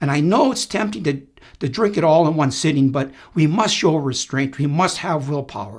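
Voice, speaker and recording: Speaking at a moderate pace with lively intonation, a man has a somewhat breathy, fairly high voice, in a very clean recording with a silent background. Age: 70s. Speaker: retired paramedic and firefighter. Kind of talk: casual talk to camera. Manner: humorous, playful.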